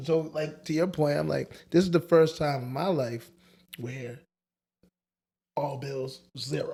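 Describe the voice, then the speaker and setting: A man's somewhat breathy, fairly high-pitched voice with a dark, mellow tone, fairly even intonation and a fairly slow pace broken by long, frequent pauses. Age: 40s. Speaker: podcast co-host. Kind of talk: casual chat.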